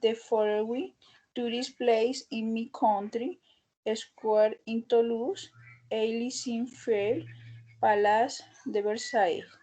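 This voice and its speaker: A woman with a Spanish accent talks at a very slow pace, leaving long, frequent pauses. Her voice is fairly high in pitch, dark and mellow in tone, with fairly even intonation, over a quiet background. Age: 20s. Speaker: English language student. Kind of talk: class presentation. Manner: halting.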